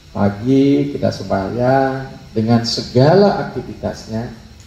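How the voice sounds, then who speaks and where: A man talks at a very slow pace. Noticeable background noise and audible room echo fill the recording. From Bali, Denpasar. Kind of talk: religious talk.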